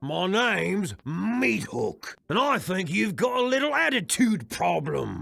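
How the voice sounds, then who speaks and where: A man puts on a character voice with a high pitch, talking at a fairly slow pace with hardly any pauses. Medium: video game. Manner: gruff, quick to laugh.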